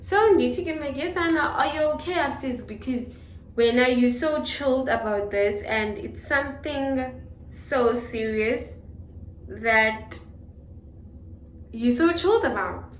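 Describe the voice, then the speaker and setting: In a room with audible echo, a woman with a South African accent speaks at a high pitch and a fairly slow pace, her intonation lively and her pauses long and frequent. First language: Xhosa. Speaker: beauty vlogger. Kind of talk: casual storytelling while doing makeup. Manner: loud; code-switching between English and Xhosa.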